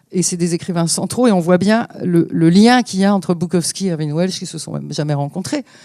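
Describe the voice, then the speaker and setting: The speaker goes at a fairly quick pace, with noticeable background noise behind. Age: 60s. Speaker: publisher. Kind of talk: panel discussion. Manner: animated.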